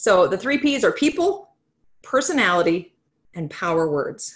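Her voice swings very widely in pitch. The woman sounds somewhat breathy. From North Dakota. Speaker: character coach and author. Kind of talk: webinar presentation. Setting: video call.

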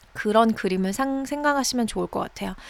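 An ordinary speaking voice from a woman, fairly high in pitch with lively intonation, comes through in a very clean recording with a silent background. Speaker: English teacher. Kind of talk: language lesson. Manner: slow, repetitive drilling.

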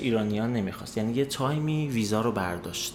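Lively in intonation, a man with an ordinary speaking voice talks at a fairly quick pace. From Iran. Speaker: emigrant sharing experience. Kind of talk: casual chat.

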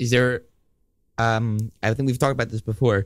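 In a plain, everyday voice, a man talks at a medium pitch with fairly even intonation. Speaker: radio co-host. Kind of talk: casual chat. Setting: studio.

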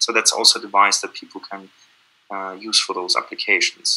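Speaking with a German accent, a man talks at a fairly quick pace. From Austria, Vienna. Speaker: company founder and CEO. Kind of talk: interview. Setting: video call.

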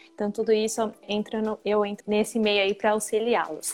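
Here is a woman with a plain, everyday voice. She speaks at a moderate pace and a fairly high pitch. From Brazil, São Paulo. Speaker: college representative. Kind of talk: live Q&A webinar.

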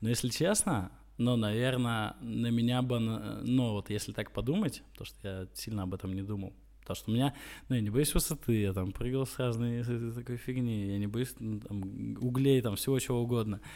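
Medium in pitch and dark, mellow in tone, a man's voice moves at a moderate pace with fairly even intonation. The recording is very clean, with a silent background. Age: 20s. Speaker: entrepreneur. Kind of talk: interview. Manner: halting, many filler sounds.

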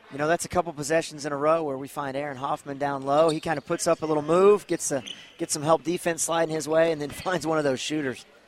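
Speaking very fast with hardly any pauses, a man with a fairly high pitch keeps a monotone, flat intonation against noticeable background noise. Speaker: color commentator. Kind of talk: casual analytic color commentary. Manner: folksy, halting with fillers.

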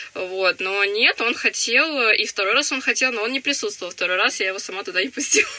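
This woman has an ordinary speaking voice, fairly high in pitch with ordinary variation. She talks at a fairly quick pace with hardly any pauses. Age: young. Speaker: young mother of three. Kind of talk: interview.

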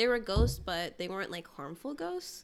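Her pitch medium and its variation ordinary, a woman with vocal fry talks at a moderate pace. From Africa. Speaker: podcast co-host. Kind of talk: casual chat.

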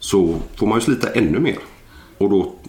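A man with a fairly low voice talks while noticeable background noise carries on. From Gothenburg area, western Sweden. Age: 40s. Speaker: former Olympic wrestler and personal trainer. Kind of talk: casual interview. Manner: hesitant, many filler sounds.

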